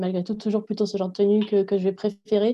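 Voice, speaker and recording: A woman speaks at medium pitch in a monotone, flat way. She goes at a very fast pace over a quiet background. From southwest France, Agen. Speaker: PhD student and university lecturer. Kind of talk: interview.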